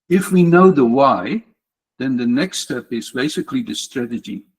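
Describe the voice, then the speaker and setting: An unremarkable speaking voice belongs to a man who talks at a fairly slow pace with lively intonation. The sound is dry and close, with no echo. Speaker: tech community speaker. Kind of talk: lightning talk presentation.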